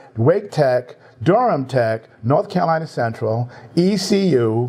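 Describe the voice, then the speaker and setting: A man with a New York accent speaks at a fairly high pitch with lively intonation. Noticeable background noise sits behind him. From New York City, Bronx. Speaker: tech industry team lead. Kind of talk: interview. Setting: livestream.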